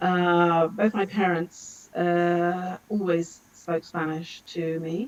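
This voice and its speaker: A woman with a London accent talks very slowly, with hardly any pauses. Her pitch is fairly low and her intonation monotone and flat. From London, England. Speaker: language school director. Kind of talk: casual interview. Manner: halting.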